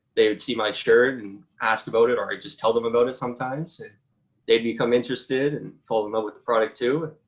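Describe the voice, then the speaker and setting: His intonation barely moves. This man's voice sits in a medium range. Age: 20s. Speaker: college student and apparel business founder. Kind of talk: interview.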